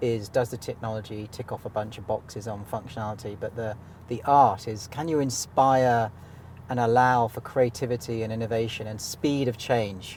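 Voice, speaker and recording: This man speaks in a British accent at medium pitch and a moderate pace, his voice somewhat breathy. His intonation stays fairly even while his loudness swings widely. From Britain. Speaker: insurance software company CEO. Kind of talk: interview in a car. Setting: in a car.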